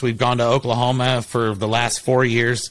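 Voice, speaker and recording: This man has an unremarkable speaking voice at a medium pitch. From Ohio, Columbus. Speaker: roofing company owner. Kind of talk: casual chat.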